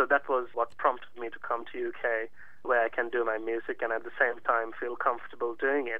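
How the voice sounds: Speaking at a fairly quick pace, a man uses a medium pitch with little pitch movement.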